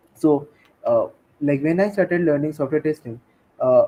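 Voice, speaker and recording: A man with a Bengali accent speaks in a fairly high pitch. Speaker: tech community leader and technical writer. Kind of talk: interview.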